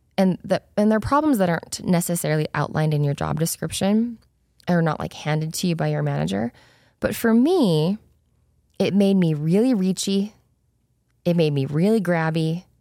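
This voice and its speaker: In a very clean recording with a silent background, a woman with an American accent uses a plain, everyday voice, fairly low in pitch, with lively intonation at a moderate pace. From Utah, US (Spanish Fork). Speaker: podcast host, former corporate executive. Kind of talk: solo podcast monologue. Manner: casual, conversational.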